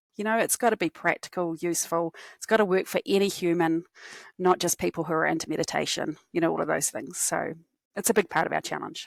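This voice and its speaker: In a strong New Zealand accent, a woman talks at a fairly quick pace and fairly low pitch, with a dry, close sound with no echo on a very clean recording with a silent background. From New Zealand, Christchurch. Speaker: cognitive scientist, company executive. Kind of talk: podcast interview.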